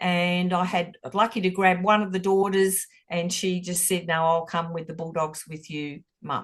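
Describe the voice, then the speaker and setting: Speaking at a fairly slow pace with hardly any pauses, a woman with an Australian accent has a fairly low pitch and fairly even intonation. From Australia, Footscray, Melbourne. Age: 60s. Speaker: football supporter. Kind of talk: casual chat. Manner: halting.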